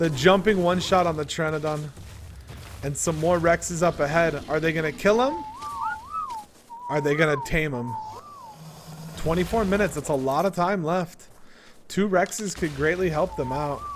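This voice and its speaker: A man's high-pitched voice at a moderate pace, with ordinary pitch variation, long, frequent pauses and noticeable background noise. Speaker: esports shoutcaster. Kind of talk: live game shoutcast commentary.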